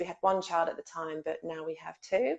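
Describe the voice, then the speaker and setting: A woman with an English accent at a fairly quick pace. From England. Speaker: guest expert on childhood trauma. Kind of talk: interview.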